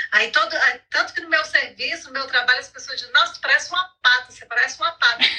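A woman speaks very fast in a high pitch with lively intonation. Her voice is raised and projected. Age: 50s. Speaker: women's health advocate. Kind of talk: live video chat.

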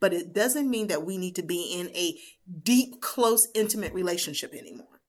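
This woman has an unremarkable speaking voice at a medium pitch, with lively intonation and a moderate pace. The recording is very clean, with a silent background. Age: 50s. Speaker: business life coach. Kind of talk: casual interview.

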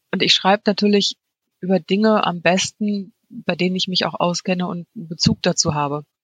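A somewhat breathy woman at medium pitch, fairly quick pace and fairly even intonation, with a dry, close sound and no echo. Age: 40s. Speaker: freelance copywriter and blogger. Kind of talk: interview.

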